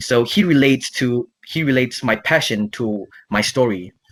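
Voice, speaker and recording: The voice belongs to a man. His pitch shifts in an ordinary way. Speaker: language student. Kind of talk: speaking exam answers. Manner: halting.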